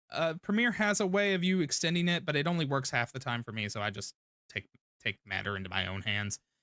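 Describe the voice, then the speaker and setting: In a very clean recording with a silent background and a dry, close sound with no echo, a man talks very fast with a bright, sharp tone, a fairly high pitch, and very wide pitch swings. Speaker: streamer. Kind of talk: live stream commentary on video editing.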